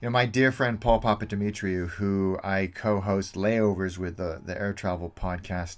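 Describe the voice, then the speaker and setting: With an American accent, a man talks at a fairly slow pace in a fairly low pitch and fairly even intonation, on a very clean recording with a silent background. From suburban California, itinerant upbringing. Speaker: travel video host. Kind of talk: casual Q&A monologue.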